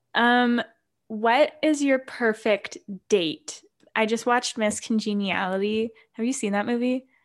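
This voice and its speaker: With a plain, everyday voice, a woman speaks fairly slowly at a fairly high pitch with ordinary pitch variation, on a very clean recording with a silent background. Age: 20s. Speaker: podcast co-host, college student. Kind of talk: casual chat.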